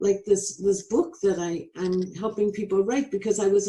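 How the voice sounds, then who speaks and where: A woman talks at a moderate pace with a dark, mellow tone and medium pitch. Her voice is somewhat breathy. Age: 70s. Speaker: inventor and retired writing professor. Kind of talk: interview.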